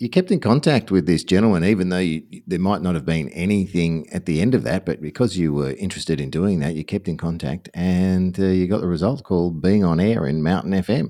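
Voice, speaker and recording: With an Australian accent, a man talks at a fairly quick pace in a very deep, low pitch, his dark, mellow tone carrying ordinary pitch variation. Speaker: podcast host, former radio broadcaster. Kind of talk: interview conversation. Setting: remote video call.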